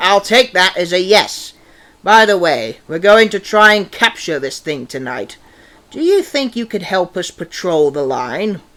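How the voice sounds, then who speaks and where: A man's put-on character voice, high in pitch, at a moderate pace. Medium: machinima. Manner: brisk, confident.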